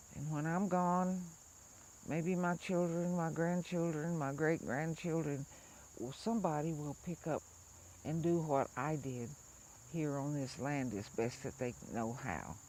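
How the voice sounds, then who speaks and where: A woman with an American accent, very deep, low pitch, a dark, mellow tone, ordinary pitch variation and a fairly slow pace. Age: 70s. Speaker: farmer and traditional healer. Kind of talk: personal storytelling interview.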